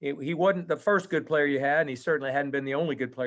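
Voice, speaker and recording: With a normal speaking voice, a man talks at a fairly high pitch and fairly even intonation. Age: 60s. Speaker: podcast host, college golf coach. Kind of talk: podcast interview.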